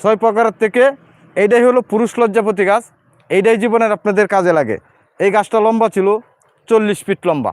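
The man's voice sits high, with fairly even intonation and very even loudness. The sound is dry and close, with no echo. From Bangladesh. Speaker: herbal remedy seller. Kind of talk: live sales pitch. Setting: outdoors in a hilly area.

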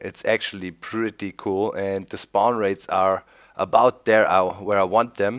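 Against a quiet background, a man with a plain, everyday voice speaks at a moderate pace and a fairly low pitch. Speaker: gameplay commentator. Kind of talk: casual gameplay commentary. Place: home room. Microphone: studio mic.

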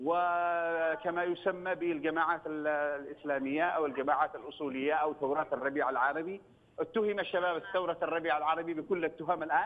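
A man's ordinary speaking voice, fairly high-pitched for a man, at a moderate pace with fairly even intonation, hardly any pauses and very even loudness. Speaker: member of parliament. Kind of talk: TV political discussion. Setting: phone call.

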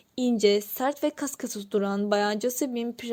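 The reading aloud is in a natural voice and shows ordinary pitch variation.

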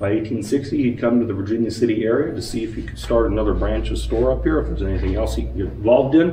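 A man speaks very fast in a very deep, low voice. Light background noise and audible room echo are present. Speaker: mine tour guide. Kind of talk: guided tour talk. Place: workshop. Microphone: camera far.

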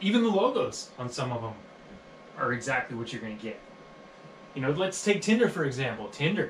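The room echo is audible, with light background noise. A man talks at a moderate pace. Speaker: comedian rehearsing a set. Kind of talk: stand-up comedy routine. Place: home room.

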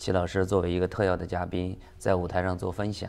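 Here a man talks at a fairly quick pace in a very deep, low voice. His intonation is monotone and flat. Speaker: businessman. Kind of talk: interview. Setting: studio. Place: studio. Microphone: lapel.

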